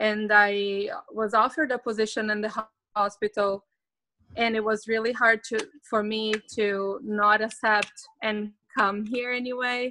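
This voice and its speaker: In a Portuguese accent, a woman with a fairly high pitch talks at a fairly slow pace, her intonation monotone and flat. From Brazil. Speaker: psychologist turned remote worker. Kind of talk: interview.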